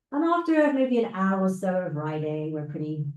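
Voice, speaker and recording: A woman speaks with a British accent. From United Kingdom. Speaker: scientist and guest speaker. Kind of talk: presentation to a club meeting.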